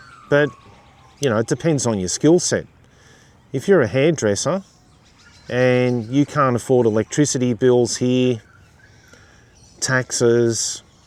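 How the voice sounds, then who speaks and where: A man with an Australian accent talks at a fairly slow pace, leaving long, frequent pauses. His pitch is medium, with ordinary variation. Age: 50s. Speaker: YouTuber. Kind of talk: casual commentary monologue.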